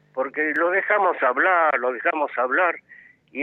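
A man speaks in an ordinary speaking voice. His pace is fairly slow, with ordinary pitch variation. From Argentina, Buenos Aires area. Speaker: radio caller. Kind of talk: call-in opinion. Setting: phone call.

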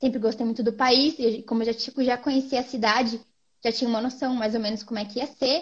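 Talking at a very fast pace, a woman uses a high pitch with fairly even intonation. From Brazil, Londrina (northern Paraná). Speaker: medical student. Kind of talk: casual interview.

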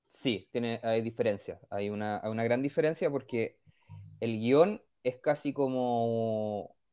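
Pitched in the medium range, a man talks at a very slow pace. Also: ordinary pitch variation. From northern Chile (Vallenar). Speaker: comic book writer. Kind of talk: radio interview. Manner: halting, many repetitions.

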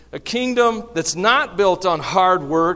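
Speaking very slowly in a Southern US accent, a man with a high voice makes very wide pitch swings. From US South. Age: 50s. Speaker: pastor. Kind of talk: sermon. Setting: church. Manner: animated.

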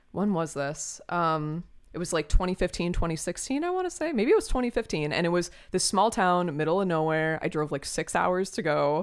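A woman with an ordinary speaking voice talks at a fairly quick pace, her fairly low pitch showing ordinary variation. The recording is very clean, with a silent background. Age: 30s. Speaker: musician guest. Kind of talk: casual interview chat.

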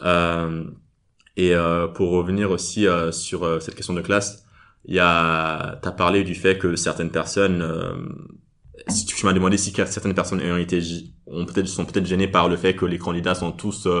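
A man with a very deep, low pitch speaks in a monotone, flat intonation, leaving long, frequent pauses. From Nigeria. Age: 20s. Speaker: energy market analyst. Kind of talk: interview answers. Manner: halting.

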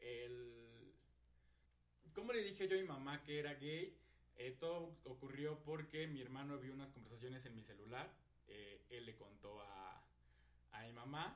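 A man speaks with lively intonation and long, frequent pauses. Room echo is audible. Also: big swings in loudness. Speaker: podcast co-host. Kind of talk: casual chat.

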